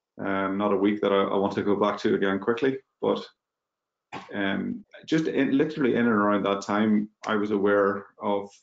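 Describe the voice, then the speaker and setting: A man with a Mid Ulster accent speaks at a moderate pace in a fairly low voice, his loudness very even and his intonation fairly even. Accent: Northern Irish (mid-Ulster). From Northern Ireland, Magherafelt, County Londonderry. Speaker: business executive. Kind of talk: webinar panel discussion.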